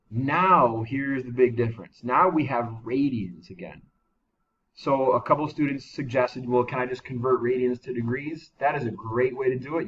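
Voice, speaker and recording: With ordinary pitch variation, a man holds a medium pitch. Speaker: math teacher. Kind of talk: tutorial. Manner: fast.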